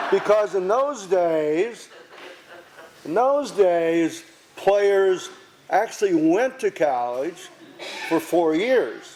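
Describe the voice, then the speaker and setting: With noticeable background noise behind him, a man talks in an American accent and uses lively intonation. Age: 80s+. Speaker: retired teacher, speaker at park dedication. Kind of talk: memorial speech with anecdotes.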